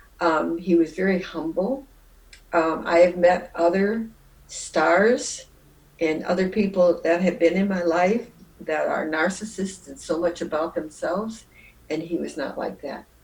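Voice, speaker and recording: Speaking with a Midwestern American accent, a woman talks at a fairly slow pace and fairly low pitch. Her pitch varies in an ordinary way, while her loudness swings widely. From Jackson, Michigan. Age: 80s+. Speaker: retired nurse. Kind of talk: interview answer. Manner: reflective, conversational.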